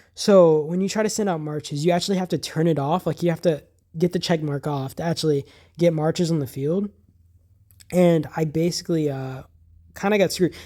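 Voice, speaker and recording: A fairly quick pace broken by long, frequent pauses, on a very clean recording with a silent background. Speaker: gaming youtuber. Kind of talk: gameplay voice-over commentary. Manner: fast; casual, filler-heavy.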